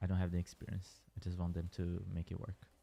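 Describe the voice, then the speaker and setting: Over background music, a man with a Portuguese accent talks at a moderate pace. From Brazil. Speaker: gaming streamer. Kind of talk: casual livestream chat. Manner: hesitant, with fillers and restarts.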